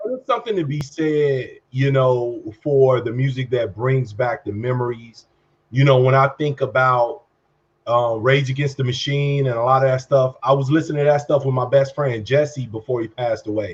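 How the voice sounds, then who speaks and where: Somewhat breathy, a man with an American accent speaks with fairly even intonation. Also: medium pitch for a man, moderate pace. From Chicago, west side. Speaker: podcast co-host. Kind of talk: casual chat.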